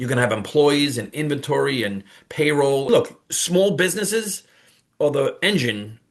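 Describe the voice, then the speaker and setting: This voice has a New York accent and very wide pitch swings. The pace is fairly quick. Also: man. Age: 50s. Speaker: online business coach. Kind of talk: casual talk to camera. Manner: animated.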